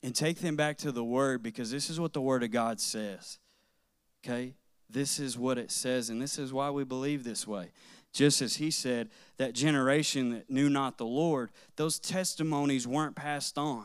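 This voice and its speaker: With an ordinary speaking voice, a man talks at a moderate pace and ordinary pitch variation in a very clean recording with a silent background. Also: medium pitch for a man. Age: 30s. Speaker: guest preacher. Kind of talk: sermon.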